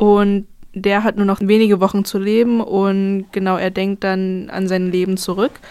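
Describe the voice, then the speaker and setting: A woman speaks at a fairly slow pace. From Brandenburg, Germany. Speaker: student radio host. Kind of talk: casual music radio chat. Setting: radio studio.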